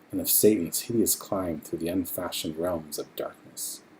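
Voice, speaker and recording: Soft-spoken and fairly low in pitch, a man talks over noticeable background noise. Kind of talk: horror story reading, ASMR.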